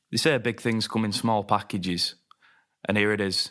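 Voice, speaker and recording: A man with a Lancashire accent talks at a fairly quick pace, his fairly low voice bright and sharp in tone and his intonation fairly even. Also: very even loudness. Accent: Wigan. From northern England, Wigan. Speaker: podcast host. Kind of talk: casual chat.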